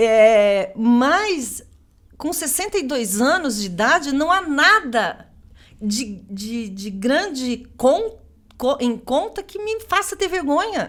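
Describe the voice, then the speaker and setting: Very slowly, a woman speaks in a high voice with very wide pitch swings. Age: 60s. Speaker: political candidate. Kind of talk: interview. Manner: animated.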